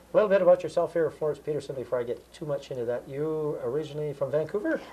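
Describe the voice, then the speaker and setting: Talking at a very fast pace, a man with a Canadian accent uses lively intonation. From Alberta, Canada. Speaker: community TV host. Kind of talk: interview. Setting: studio. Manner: halting. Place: office.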